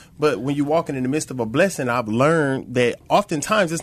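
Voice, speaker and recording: Very fast and with an American accent, a man speaks at a fairly high pitch with ordinary pitch variation. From Flint, Michigan. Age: 30s. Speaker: recovery program student. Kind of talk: testimony. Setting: studio.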